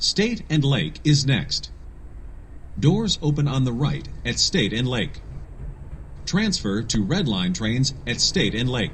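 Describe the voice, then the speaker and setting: At a very slow pace, a man with a medium pitch and vocal fry speaks with very wide pitch swings and long, frequent pauses. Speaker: voiceover artist. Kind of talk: automated transit announcement. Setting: train PA system.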